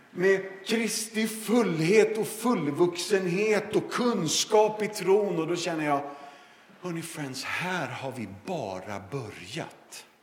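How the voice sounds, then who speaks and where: A man with a high pitch speaks at a very slow pace, with ordinary pitch variation and big swings in loudness. Audible room echo and noticeable background noise fill the recording. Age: 50s. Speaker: evangelist and former pastor. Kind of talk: sermon. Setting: church service.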